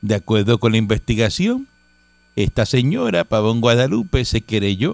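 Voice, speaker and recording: Dry and close with no echo, a man's speech moves at a fairly slow pace. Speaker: radio host. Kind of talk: news reading; casual chat. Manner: loud; animated.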